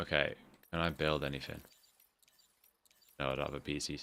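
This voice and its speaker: Music plays behind a man with a northern English accent. He speaks at a moderate pace. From northern England. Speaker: gaming YouTuber. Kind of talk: let's play commentary. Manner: drops T sounds; casual, relaxed.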